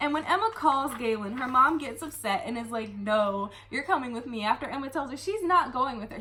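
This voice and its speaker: Against noticeable background noise, a woman with a high voice talks fairly fast and animatedly, with hardly any pauses, lively intonation and big swings in loudness. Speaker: booktuber and young adult author. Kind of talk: book review rant.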